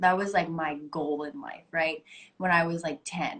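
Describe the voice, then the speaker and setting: Fairly low in pitch, a woman talks with an American accent and a normal speaking voice. Her intonation stays fairly even. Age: 20s. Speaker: actress. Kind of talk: casual interview. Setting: Instagram live video call.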